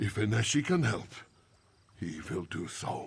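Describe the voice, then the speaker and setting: Moderate pace in a put-on character voice. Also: man, fairly low pitch for a man. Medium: video game. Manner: refers to himself in third person.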